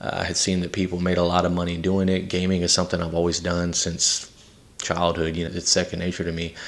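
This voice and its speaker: In a Southern US accent, a man with a very deep, low pitch talks at a very fast pace with monotone, flat intonation. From Texas (San Antonio, Victoria) and Louisiana. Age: 30s. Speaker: podcast host. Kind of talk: personal testimony. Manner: casual with many fillers.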